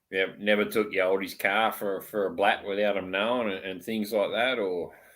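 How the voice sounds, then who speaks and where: Spoken in an Australian accent, the words come at a moderate pace with monotone, flat intonation. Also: man, fairly low pitch for a man. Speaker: live stream host. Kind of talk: casual chat.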